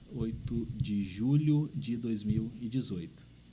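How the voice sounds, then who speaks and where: Over audible room echo, a man of medium pitch speaks with lively intonation in a dark, mellow tone. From Rio de Janeiro state interior (São Fidélis). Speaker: pastor. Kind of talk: podcast interview.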